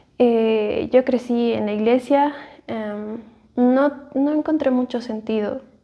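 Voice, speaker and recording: This woman's voice sits fairly high, with fairly even intonation. Her pace is very slow. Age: 30s. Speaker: churchgoer giving personal faith story. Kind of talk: testimony. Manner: halting, many fillers.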